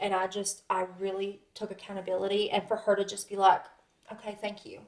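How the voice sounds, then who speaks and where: Loud and bubbly, a woman speaks at a fairly quick pace and a medium pitch. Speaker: podcast guest. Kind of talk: casual chat.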